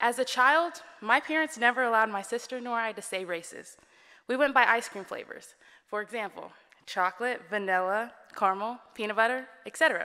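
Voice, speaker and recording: Against a quiet background, a woman with an American accent speaks at a moderate pace and a fairly high pitch, her bright, sharp tone showing ordinary pitch variation and big swings in loudness. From Texas, Dallas. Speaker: student speaker. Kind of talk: speech. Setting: stage with audience. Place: hall. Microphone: podium.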